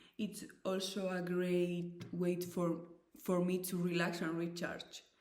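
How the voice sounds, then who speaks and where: At a very slow pace, a woman speaks in a fairly low pitch with monotone, flat intonation, and audible room echo is present. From Spain, Basque Country. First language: Basque and Spanish. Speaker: volunteer language conversation presenter. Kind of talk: scripted presentation.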